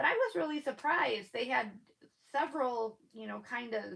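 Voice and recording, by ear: A woman speaks at a fairly slow pace with a fairly bright tone, a slightly husky edge, vocal fry and lively intonation.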